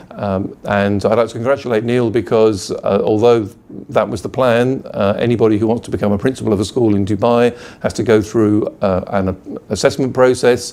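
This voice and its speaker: This man has a British accent and a medium pitch. He talks at a moderate pace with fairly even intonation. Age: 50s. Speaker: school principal. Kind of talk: video blog to parents. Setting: office. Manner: hesitant, many fillers.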